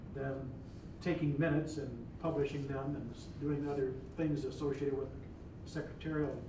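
Amid noticeable background noise and audible room echo, a man talks at a fairly quick pace in a flat monotone. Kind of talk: formal meeting procedure. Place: meeting room.

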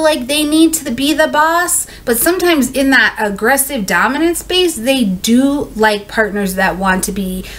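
A woman speaks at a fairly slow pace in a high pitch. Her voice makes very wide pitch swings. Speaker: astrology reader. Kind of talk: casual explainer talk. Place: home room.

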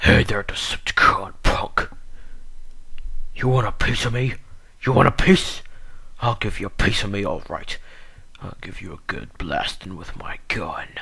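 A man uses a put-on character voice at a moderate pace, with long, frequent pauses. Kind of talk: voice audition. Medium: voice reel. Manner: brash, taunting.

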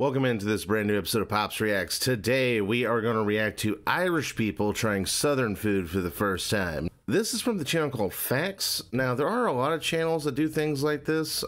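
A man talks at a moderate pace. He hardly pauses at all. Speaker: reaction youtuber. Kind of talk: casual reaction commentary. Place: home room.

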